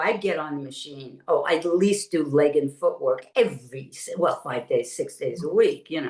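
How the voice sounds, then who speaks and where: An animated woman at a moderate pace. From New York City (Brooklyn). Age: 70s. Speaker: retired Pilates teacher and former studio owner. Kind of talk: interview.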